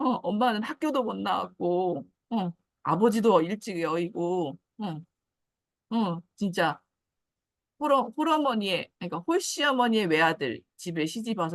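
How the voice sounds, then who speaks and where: With a medium pitch that swings very widely, a woman talks at a moderate pace. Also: dry, close sound with no echo. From Jeju Island, South Korea. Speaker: guest sharing personal story. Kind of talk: casual talk.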